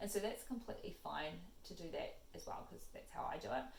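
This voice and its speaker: Fairly quick speech from a woman, the room echo clearly audible. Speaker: psychologist giving stress advice. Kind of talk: casual Q&A talk to camera. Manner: fast; halting, many fillers.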